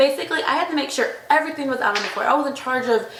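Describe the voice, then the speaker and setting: In an American accent, a high-pitched woman talks at a very fast pace, with audible room echo and noticeable background noise. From Texas, Corpus Christi area. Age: 20s. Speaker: daycare teacher and waitress. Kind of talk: self-introduction monologue. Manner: casual.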